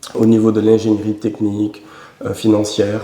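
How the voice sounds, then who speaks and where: Against noticeable background noise, a man talks in a fairly low pitch. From Senegal. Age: 30s. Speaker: real estate company CEO. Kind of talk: TV business interview. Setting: TV studio. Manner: hesitant, many filler sounds.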